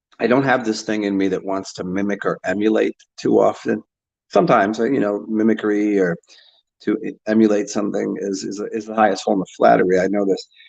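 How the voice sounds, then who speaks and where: A man with a Northeastern US accent talks at a fairly quick pace and fairly low pitch, his intonation fairly even over a quiet background. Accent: American, Northeast. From US Northeast. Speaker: YouTuber. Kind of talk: casual monologue reacting to comments. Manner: halting, many fillers and repetitions.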